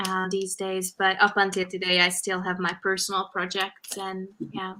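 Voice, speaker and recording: In a Hungarian accent, a woman speaks at a moderate pace with a medium pitch and a bright, sharp tone. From Hungary (countryside). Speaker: fashion photographer. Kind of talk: interview.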